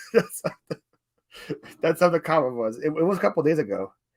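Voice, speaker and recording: This man's fairly high voice carries vocal fry and very wide pitch swings as he talks at a very fast pace. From Ukraine, moved to US at eight. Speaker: reseller, YouTuber. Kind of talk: casual chat.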